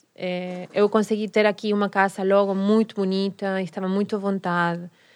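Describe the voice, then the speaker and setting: Over a quiet background, a woman with a Spanish accent and a medium pitch speaks at a fairly slow pace. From Argentina, Rosario. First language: Spanish (speaking Portuguese). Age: 40s. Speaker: tango dancer and teacher. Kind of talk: casual interview. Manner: mixes Portuguese and Spanish.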